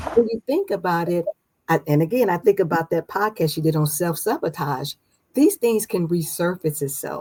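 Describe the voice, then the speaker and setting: A woman's fairly low, somewhat breathy voice with a dark, mellow tone, ordinary pitch variation and a moderate pace, in a dry, close sound with no echo. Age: 60s. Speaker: guest sharing personal healing story. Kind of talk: testimony. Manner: halting.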